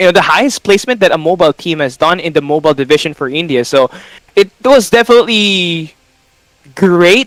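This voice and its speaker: Heard in a dry, close sound with no echo, a man with a Filipino accent and a high pitch talks at a fairly quick pace with lively intonation. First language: Tagalog. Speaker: esports caster. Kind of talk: casual chat.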